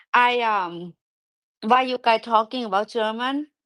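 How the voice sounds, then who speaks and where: A woman with a strong Thai accent talks at a moderate pace with fairly even intonation. The recording is very clean, with a silent background. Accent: thick Thai. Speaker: live stream host. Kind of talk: casual chat. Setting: live audio room.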